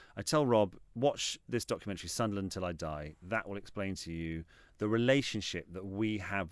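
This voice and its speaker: In a very clean recording with a silent background, a man with a southern English accent speaks at a fairly quick pace in a very deep, low voice with ordinary pitch variation. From England, Reading. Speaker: football club executive and TV writer. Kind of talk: interview. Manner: halting; animated.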